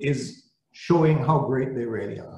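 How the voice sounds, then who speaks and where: A somewhat breathy man at a fairly slow pace, with audible room echo and light background noise. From Saint Lucia. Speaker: service-club district leader. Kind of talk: greeting speech. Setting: video call. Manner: animated. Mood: warm, encouraging. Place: office. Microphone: video call.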